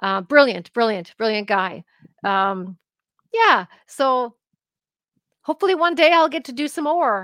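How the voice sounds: A woman with fairly high pitch and a fairly bright tone, lively intonation, a fairly slow pace with long, frequent pauses, and a dry, close sound with no echo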